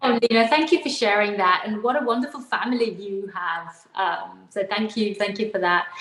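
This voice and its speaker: A woman talks at a moderate pace in a medium pitch, hardly pausing, over noticeable background noise. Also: ordinary pitch variation. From UK. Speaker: talk show host. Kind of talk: interview.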